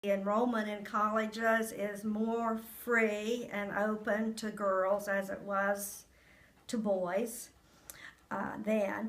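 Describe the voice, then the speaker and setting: A woman with an American accent speaks at a very slow pace in a monotone, flat intonation. Audible room echo surrounds her. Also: fairly high pitch for a woman. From Ohio, US Midwest. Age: 70s. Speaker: retired nurse. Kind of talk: interview. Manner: halting.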